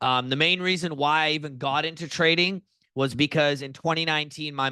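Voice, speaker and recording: Over a quiet background, a man with a fairly high, bright, sharp voice talks at a fairly quick pace with fairly even intonation. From Canada. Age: 20s. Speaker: trading educator. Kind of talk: casual talk to online community. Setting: online group call. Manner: casual, many fillers.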